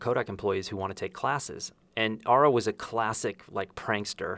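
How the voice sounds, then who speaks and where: A man's fairly low voice with vocal fry and ordinary pitch variation, at a moderate pace. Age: 50s. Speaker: podcast host and photographer. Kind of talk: interview. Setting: on location in Santa Fe.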